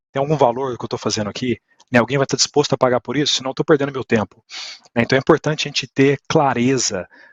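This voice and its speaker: Rattling along at a very fast pace, a man keeps his intonation fairly even. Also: medium pitch for a man. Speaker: speaker at an IT conference. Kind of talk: talk to an audience.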